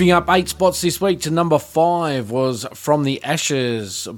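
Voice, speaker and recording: A man with an Australian accent and lively intonation. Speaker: radio host. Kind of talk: radio DJ patter, friendly and welcoming, introducing songs. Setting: studio. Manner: relaxed, upbeat, chatty; clear, brisk announcer delivery.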